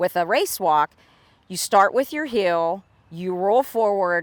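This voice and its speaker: An ordinary speaking voice from a woman with an American accent, medium in pitch with ordinary pitch variation, dry and close with no echo, on a very clean recording with a silent background. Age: 60s. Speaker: competitive race walker. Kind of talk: advice talk to camera. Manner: conversational, with fillers.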